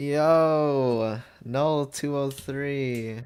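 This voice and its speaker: Quietly, a man speaks at a medium pitch with fairly even intonation. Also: very clean recording, silent background. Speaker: streamer making launchpad light shows. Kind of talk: casual live stream, chatting while editing. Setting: live stream.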